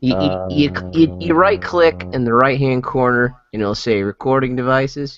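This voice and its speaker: With music in the background, a man talks at a moderate pace with a medium-pitched voice. He hardly pauses at all. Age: 30s. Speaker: podcast panelist. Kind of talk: casual chat. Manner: animated.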